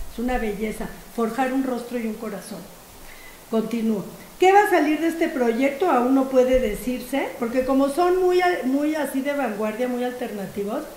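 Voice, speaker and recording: A woman with a high voice speaks at a moderate pace with lively intonation. The recording carries audible room echo and noticeable background noise. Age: 60s. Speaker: philosophy professor. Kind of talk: lecture. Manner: animated.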